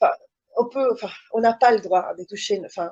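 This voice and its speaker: A woman with a fairly high pitch and a dark, mellow tone talks at a moderate pace with ordinary pitch variation. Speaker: mother testifying about child placement. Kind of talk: testimony in online interview. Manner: halting, many hesitations.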